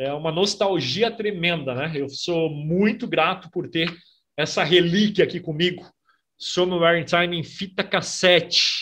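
Over a quiet background, a man with a high pitch and a bright, sharp tone speaks at a fairly slow pace with ordinary pitch variation. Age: 40s. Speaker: radio host and music reviewer; radio host, music reviewer. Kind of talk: casual video review. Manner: animated. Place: home room. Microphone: webcam.

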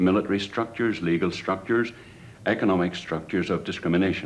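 With an Irish accent and a very deep, low pitch, a man talks with lively intonation over light background noise. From Ireland. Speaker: political activist. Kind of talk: documentary interview. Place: office.

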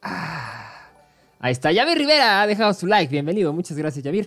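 Faint music plays behind an animated man with a high pitch. His voice makes very wide pitch swings. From Mexico. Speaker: gaming streamer and esports caster; gaming streamer. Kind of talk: live commentary. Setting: live stream. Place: home room. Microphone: headset.

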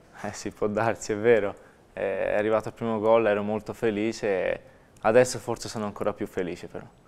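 A man's fairly low voice, flat and monotone, at a fairly quick pace. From Italy. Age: 20s. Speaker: footballer. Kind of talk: interview. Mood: happy, smiling, shy. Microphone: lapel.

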